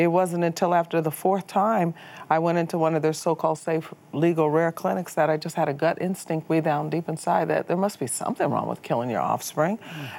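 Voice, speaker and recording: Talking at a fairly quick pace in an unremarkable speaking voice, a woman has a fairly low pitch and ordinary pitch variation. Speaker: political activist. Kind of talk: interview.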